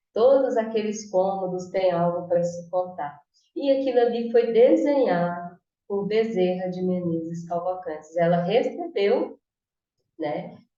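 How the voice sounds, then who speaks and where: This woman's voice is dark and mellow at a medium pitch. She talks at a fairly slow pace. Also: ordinary pitch variation. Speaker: spiritist study presenter. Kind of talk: study talk on video call.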